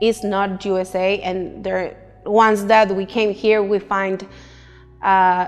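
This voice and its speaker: Music plays behind a woman with a Mexican accent. Her medium-pitched voice is monotone and flat, at a very slow pace. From Mexico, Nuevo Laredo, Tamaulipas. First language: Spanish. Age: 30s. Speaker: immigrant job seeker, interviewee. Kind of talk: documentary interview.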